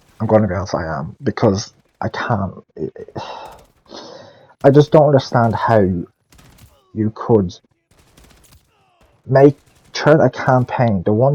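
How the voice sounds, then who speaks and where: The voice has a dark, mellow tone, recorded dry and close with no echo. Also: man. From Ireland. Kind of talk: casual game review commentary. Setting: headset mic, poor audio. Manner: loud.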